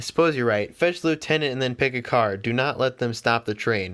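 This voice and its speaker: A man puts on a growling character voice at medium pitch. He moves at a fairly quick pace with ordinary pitch variation. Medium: read story. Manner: snarling, bossy.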